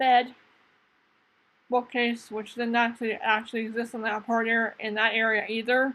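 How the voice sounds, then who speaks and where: Fairly high in pitch, a woman speaks at a moderate pace in a monotone, flat intonation, leaving long, frequent pauses. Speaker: gaming YouTuber. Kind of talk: casual gameplay commentary. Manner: halting, stumbling over words.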